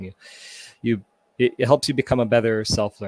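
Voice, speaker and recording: A man with a Canadian accent speaks at a medium pitch. The sound is dry and close with no echo, and the recording is very clean with a silent background. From Toronto, Canada. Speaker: community repair volunteer. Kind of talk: panel interview.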